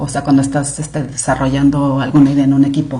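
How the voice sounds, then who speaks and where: A woman speaks with a Mexican accent in a room with audible echo. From Mexico. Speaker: clinical research director. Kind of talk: podcast interview. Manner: animated.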